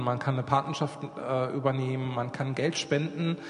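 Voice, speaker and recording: A man's fairly high-pitched voice, monotone and flat, at a moderate pace, with noticeable background noise and audible room echo. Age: 40s. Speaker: children's charity worker. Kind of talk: church talk with flipchart.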